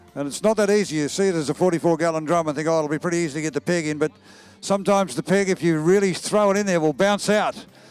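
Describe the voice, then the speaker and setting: Talking at a very fast pace, a man with an Australian accent and a high pitch shows ordinary pitch variation. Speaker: equestrian event commentator. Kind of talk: live commentary.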